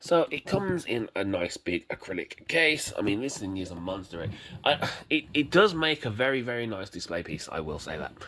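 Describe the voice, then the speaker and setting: A man with a British accent at medium pitch, very wide pitch swings and a moderate pace, over noticeable background noise. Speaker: YouTube collector reviewer. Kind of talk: casual product review vlog. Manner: halting, many fillers and repetitions.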